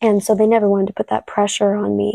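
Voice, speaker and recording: A woman with a Californian accent speaks at a medium pitch with a dark, mellow tone and monotone, flat intonation, in a very clean, dry, close recording with no echo and a silent background. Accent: Californian American. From US West Coast, San Diego. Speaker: actress. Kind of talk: interview.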